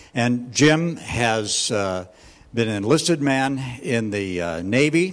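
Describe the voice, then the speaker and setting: Lively intonation carries the very slow delivery over noticeable background noise. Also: man, medium pitch for a man. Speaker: ministry leader. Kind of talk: speaker introduction.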